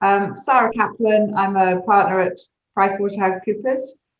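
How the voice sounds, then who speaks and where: A woman with a British accent speaks at a moderate pace in a monotone, flat intonation. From UK. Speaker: consulting executive. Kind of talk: panel discussion.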